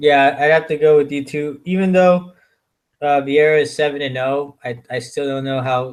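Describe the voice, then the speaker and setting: This man's voice sits fairly high. The intonation is fairly even. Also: moderate pace. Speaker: MMA prediction show co-host. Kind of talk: casual chat. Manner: loud; halting.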